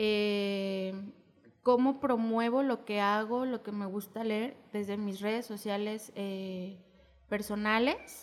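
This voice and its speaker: A woman's fairly high, fairly even voice at a very slow pace. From Mexico. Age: 30s. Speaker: poet and radio producer. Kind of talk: podcast interview.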